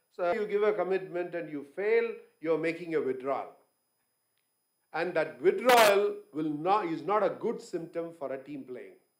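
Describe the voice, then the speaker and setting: Delivered at a moderate pace with lively intonation, the speech carries audible room echo. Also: man. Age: 60s. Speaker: business owner, guest speaker. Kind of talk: conference talk.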